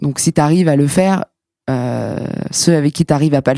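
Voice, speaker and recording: In a dry, close sound with no echo, a woman speaks with a dark, mellow tone and a very deep, low pitch. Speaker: comedian. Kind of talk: casual chat. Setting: studio. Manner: fast; animated.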